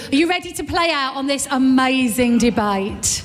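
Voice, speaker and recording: A loud, high-pitched woman's voice with ordinary pitch variation, plus audible room echo and noticeable background noise. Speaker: event host. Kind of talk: live event presenting. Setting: stage with audience. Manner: animated.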